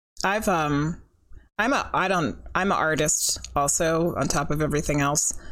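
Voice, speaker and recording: A woman with an American accent and a very deep, low pitch, vocal fry, very even loudness and ordinary pitch variation at a moderate pace, with audible room echo. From California. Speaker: podcast host and psychic medium. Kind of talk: casual chat.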